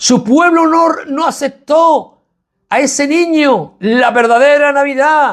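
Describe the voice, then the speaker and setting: A man's extremely high-pitched voice at a very slow pace, with very even loudness throughout. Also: ordinary pitch variation. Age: 60s. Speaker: evangelical preacher. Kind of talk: sermon.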